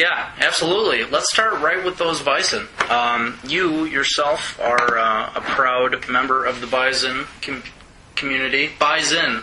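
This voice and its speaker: Fairly high male voice, fairly slow, with ordinary pitch variation, audible room echo and noticeable background noise. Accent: Wisconsin. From Wisconsin. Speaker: sports editor and podcast host. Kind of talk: casual sports chat.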